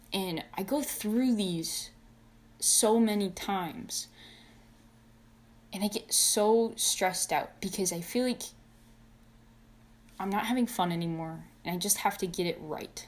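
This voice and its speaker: A woman's mumbling at a fairly slow pace, medium in pitch with ordinary pitch variation and long, frequent pauses. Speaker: video creator, fursuit and mask maker. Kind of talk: casual vlog monologue. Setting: talking to camera at home, wearing a mask. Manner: stutters and mumbles, says uh a lot; unscripted first take, unedited.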